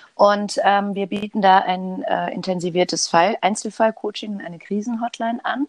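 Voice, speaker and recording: A woman's pitch varies in an ordinary way as she talks at a fairly slow pace. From Germany, Hamburg. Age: 50s. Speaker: psychologist. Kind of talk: interview. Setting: remote call from home living room.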